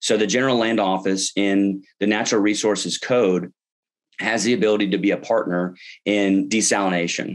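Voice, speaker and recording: Over a quiet background, a man with a Texan accent speaks at a moderate pace with a fairly low pitch, very even loudness and fairly even intonation. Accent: Texan American English. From Texas. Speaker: political candidate; candidate. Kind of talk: interview. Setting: online webinar. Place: home room. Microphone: webcam.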